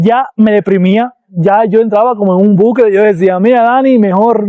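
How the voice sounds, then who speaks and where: Ordinary pitch variation at a moderate pace. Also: man. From Cuba. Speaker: YouTuber, former nurse. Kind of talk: vlog monologue.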